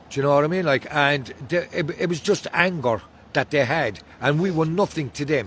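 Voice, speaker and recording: A man's fairly high voice with an Irish accent, ordinary pitch variation and a moderate pace. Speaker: hunger striker, abuse survivor. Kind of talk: street interview testimony. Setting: outdoors.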